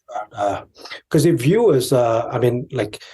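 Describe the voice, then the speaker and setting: A man talks at a moderate pace and medium pitch, his dark, mellow tone somewhat breathy and his intonation fairly even. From India, Tibetan exile community in Darjeeling. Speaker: Tibetan commentator, podcast guest. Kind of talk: interview conversation. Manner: halting, many fillers.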